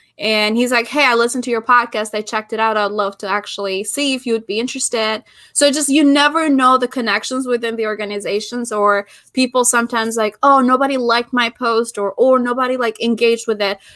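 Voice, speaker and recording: A woman with an Albanian accent at a very fast pace, hardly any pauses, fairly high pitch and fairly even intonation, on a very clean recording with a silent background. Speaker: podcast host and business founder. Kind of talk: interview conversation. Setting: live stream.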